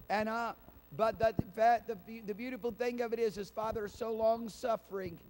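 A man talks at a fairly quick pace. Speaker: pastor. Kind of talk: sermon. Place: church. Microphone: handheld.

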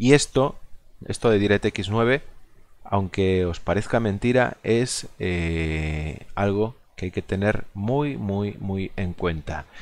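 Over a quiet background, a man with a Galician accent speaks very slowly at a fairly low pitch. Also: lively intonation. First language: Galician (speaking Spanish). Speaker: gaming video creator. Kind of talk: gameplay commentary. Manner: halting, many fillers.

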